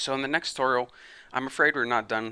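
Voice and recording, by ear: In a put-on character voice, a man talks very fast at medium pitch, hoarse and raspy, with fairly even intonation against a quiet background.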